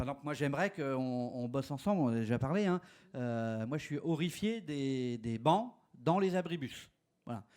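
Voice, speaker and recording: A man's fairly high-pitched voice with lively intonation at a moderate pace, on a very clean recording with a silent background. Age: 60s. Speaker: urban age-friendly policy expert. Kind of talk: conference panel talk. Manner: hesitant, many fillers.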